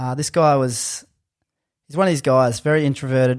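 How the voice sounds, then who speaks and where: On a very clean recording with a silent background, a man talks. He has an Australian accent and a fairly high pitch. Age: 30s. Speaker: strength coach and personal trainer. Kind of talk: casual interview chat.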